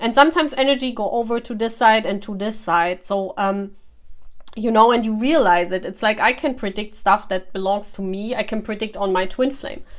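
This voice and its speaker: A fairly high-pitched woman at a fairly quick pace, with a non-native accent and ordinary pitch variation. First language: not English. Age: 40s. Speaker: tarot reader. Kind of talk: casual talk to camera. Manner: halting.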